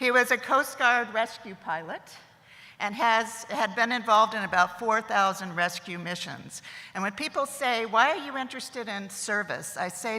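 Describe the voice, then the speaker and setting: A woman talks at a moderate pace with a fairly high pitch and ordinary pitch variation. Her loudness swings widely, and there is noticeable background noise. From US, military family moving around. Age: 70s. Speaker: commencement speaker. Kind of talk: commencement speech. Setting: stage with audience.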